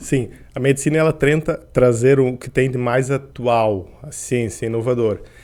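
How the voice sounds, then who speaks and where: The speech runs at a fairly slow pace, with big swings in loudness. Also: man, medium pitch for a man, fairly even intonation. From Portugal (grew up there, born in Curitiba, Brazil). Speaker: endocrinologist and sports medicine doctor. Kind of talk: podcast interview.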